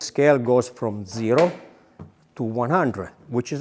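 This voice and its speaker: Speaking in a normal speaking voice, a man keeps a medium pitch and a moderate pace, with ordinary pitch variation. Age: 60s. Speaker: wool mill worker. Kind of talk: factory tour explanation.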